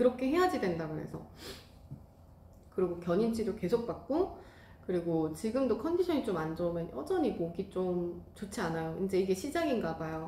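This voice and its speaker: A woman with lively intonation at a fairly quick pace, over noticeable background noise. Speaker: rice cake class instructor and YouTuber. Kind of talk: casual vlog talk to viewers.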